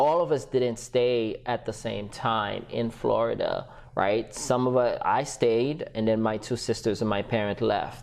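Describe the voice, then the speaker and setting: Speaking with a slight Haitian accent, a man talks at a fairly slow pace and medium pitch with fairly even intonation and hardly any pauses. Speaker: entrepreneur and business coach. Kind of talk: podcast interview.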